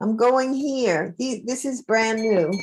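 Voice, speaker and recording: A woman's fairly high-pitched voice at a very slow pace. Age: 80s+. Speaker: artist. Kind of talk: casual chat. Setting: video call.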